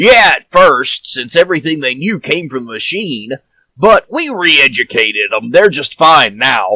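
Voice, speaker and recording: A man's put-on character voice on a very clean recording with a silent background. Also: fairly high pitch for a man, moderate pace. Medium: audio drama. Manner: casual, chatty.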